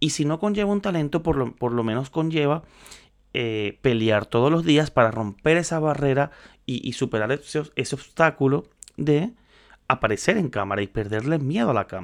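At a moderate pace and with lively intonation, a plain, everyday voice comes through a very clean recording with a silent background. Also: man, fairly high pitch for a man. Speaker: podcaster on social media and content creation. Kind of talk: casual solo talk. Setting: home studio, on camera.

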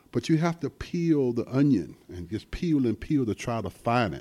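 On a very clean recording with a silent background, a man with an American accent and a dark, mellow tone speaks at a moderate pace with lively intonation. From US South, South Carolina. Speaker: music venue owner. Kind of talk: casual interview. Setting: studio.

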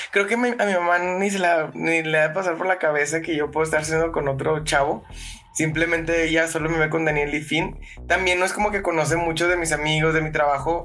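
Noticeable background noise accompanies speech at a fairly quick pace, with fairly even intonation and very even loudness. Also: man, fairly high pitch for a man. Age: 20s. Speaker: podcast guest. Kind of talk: casual chat.

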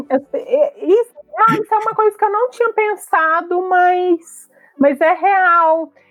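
At a very slow pace, a woman with an extremely high pitch uses lively intonation while keeping her loudness very even. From Brazil, interior of Minas Gerais. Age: 40s. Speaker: pharmacist and social media commentator. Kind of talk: casual chat.

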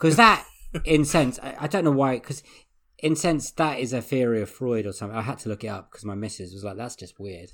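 Against a silent background in a very clean recording, a man of medium pitch talks fairly quickly with lively intonation and big swings in loudness. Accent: English. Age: 30s. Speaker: podcast host. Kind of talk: casual chat.

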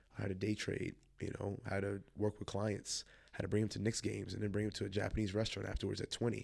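Very fast and monotone with flat intonation, a man with an American accent speaks at a fairly low pitch with vocal fry. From Long Island, New York (childhood partly in Chicago area). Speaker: former college basketball coach, tournament founder. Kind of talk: casual interview.

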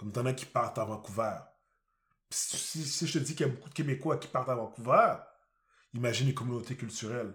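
Speaking at a very fast pace yet with long, frequent pauses, a man keeps a medium pitch with ordinary pitch variation. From Quebec. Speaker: podcast co-host. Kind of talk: casual chat.

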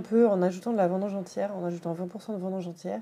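Noticeable background noise accompanies a woman speaking with fairly even intonation. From France, Dijon and Paris. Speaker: winemaker. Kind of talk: interview. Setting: wine shop.

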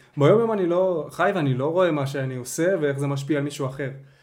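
A man's fairly high-pitched voice at a fairly quick pace, with ordinary pitch variation and audible room echo. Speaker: podcast host. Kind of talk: casual chat.

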